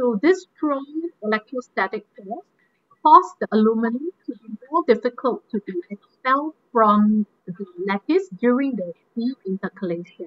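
A woman's voice leaps through very wide pitch swings. Her loudness also shifts in big swings. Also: moderate pace, dry sound with no echo. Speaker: battery researcher and guest lecturer; guest lecturer. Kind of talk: online technical lecture. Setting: video call. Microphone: video call.

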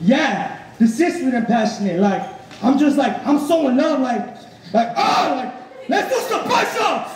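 Crowd noise fills the background while a man speaks with audible room echo. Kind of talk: comedic skit performance. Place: stage.

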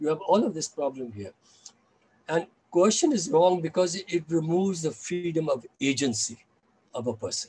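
A man with a high pitch and a dark, mellow tone, lively intonation at a moderate pace, broken by long, frequent pauses. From India. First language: Chinese. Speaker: scholar and anti-nuclear activist; guest. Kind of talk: interview. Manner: halting. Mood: calm, reflective. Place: home room. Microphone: video call.

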